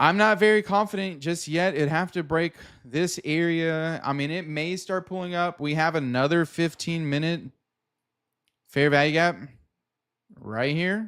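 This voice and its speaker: A man's high, bright, sharp voice at a moderate pace, on a very clean recording with a silent background. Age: 30s. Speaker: day trader livestreamer. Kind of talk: live trading stream commentary. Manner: casual, conversational.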